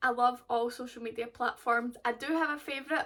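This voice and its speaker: A woman's high voice carries fairly even intonation. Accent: Glaswegian. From Scotland, Glasgow. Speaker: golf vlogger. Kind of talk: casual vlog chat.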